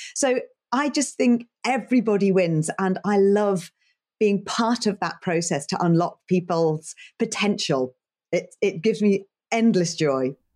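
In a very clean recording with a silent background, a woman with an English accent speaks at a fairly slow pace in an animated tone with lively intonation. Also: medium pitch for a woman. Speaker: leadership coach and broadcast journalist. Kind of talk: interview; guided exercise.

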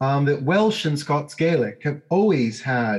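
Against a quiet background, a man with a fairly high, somewhat breathy voice speaks at a fairly slow pace with lively intonation. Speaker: law professor and policy author. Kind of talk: interview discussing policy. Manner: halting, repeats words.

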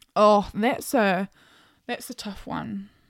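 This speaker has a New Zealand accent and an animated tone. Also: woman, dry, close sound with no echo. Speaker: podcast host. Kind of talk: casual solo podcast monologue. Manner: chatty, animated.

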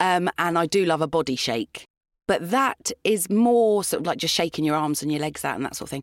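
A woman with a plain, everyday voice speaks at a fairly quick pace, fairly low in pitch and with lively intonation. The recording is very clean with a silent background, dry and close with no echo. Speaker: voiceover artist. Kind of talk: casual chat.

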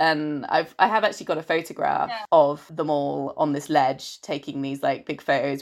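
A woman speaks in a normal speaking voice. Her pitch varies in an ordinary way. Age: 30s. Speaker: writer and filmmaker, travel guest. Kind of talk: casual interview chat.

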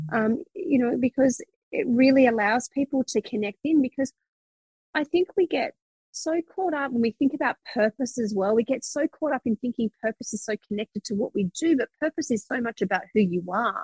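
Dry and close with no echo, a woman's high-pitched, energetic voice moves at a moderate pace with lively intonation. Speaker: psychic business mentor. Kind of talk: interview conversation.

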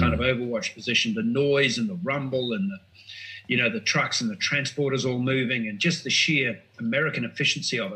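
Very fast and with lively intonation, a man in an Australian accent talks at a medium pitch. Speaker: former foreign correspondent and author. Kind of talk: casual chat.

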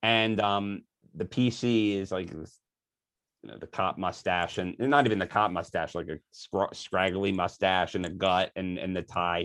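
A man with an American accent and very deep, low pitch, ordinary pitch variation, big swings in loudness, a moderate pace, and a very clean recording with a silent background. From US Northeast, Philadelphia. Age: 40s. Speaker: author and marketing company founder. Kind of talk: podcast interview.

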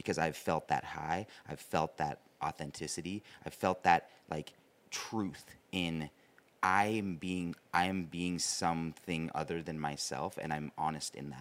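A man talks at a fairly slow pace in a very deep, low voice, his intonation fairly even. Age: 30s. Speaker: podcast co-host. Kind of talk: casual interview conversation.

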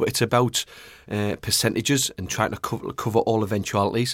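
Over a very clean recording with a silent background, a man mumbles with a northeast English accent. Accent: northeast English (Geordie-type). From northeast England. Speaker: goalkeeping pundit, ex-goalkeeper. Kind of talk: casual chat. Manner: fast talker, mumbles a bit.

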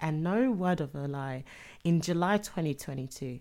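A woman speaks at a fairly slow pace with a London accent. The recording is very clean, with a silent background. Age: young. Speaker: podcast co-host. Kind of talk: casual chat.

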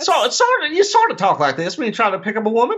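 A nasal, put-on character voice at a very fast pace. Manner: blustery, pick-up-artist talk.

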